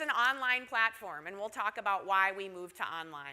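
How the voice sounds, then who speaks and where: A woman talks with a Minnesotan accent. Her pace is moderate. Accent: Minnesota. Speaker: university research engineer and instructor. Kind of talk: conference presentation. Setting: stage with audience at conference.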